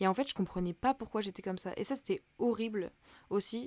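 A woman's voice with ordinary pitch variation in a dry, close sound with no echo. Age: 20s. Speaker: podcast host, student. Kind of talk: casual personal monologue. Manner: hesitant, many fillers.

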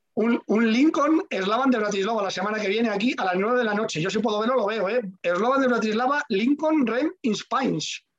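A man's fairly quick, nearly pause-free delivery, high-pitched for a man, with ordinary pitch variation. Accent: Madrid. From Madrid, Spain. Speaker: radio host. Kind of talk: casual chat.

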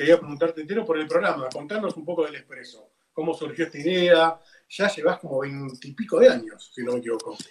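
Speaking very fast in a Rioplatense accent, a man has a fairly high pitch, ordinary pitch variation and big swings in loudness. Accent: Argentine Rioplatense Spanish. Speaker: radio co-host. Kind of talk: interview.

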